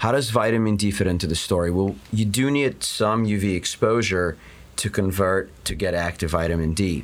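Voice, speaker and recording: Here is a man with an unremarkable speaking voice and a fairly low pitch. He talks at a fairly slow pace with ordinary pitch variation. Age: 40s. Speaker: dermatologist. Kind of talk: interview. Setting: studio.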